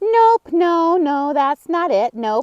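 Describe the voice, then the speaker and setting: Someone puts on a high-pitched character voice. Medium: read story. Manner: fussy, repeats himself.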